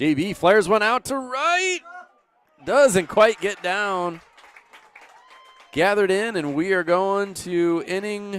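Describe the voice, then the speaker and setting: With crowd noise in the background, a man with a high pitch speaks at a very slow pace, leaving long, frequent pauses. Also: ordinary pitch variation. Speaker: baseball play-by-play announcer. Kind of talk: live sports commentary. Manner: animated.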